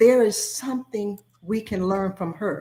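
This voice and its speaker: A plain, everyday voice at a fairly slow pace with fairly even intonation. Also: woman. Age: 60s. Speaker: author and former school principal. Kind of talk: interview. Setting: video call.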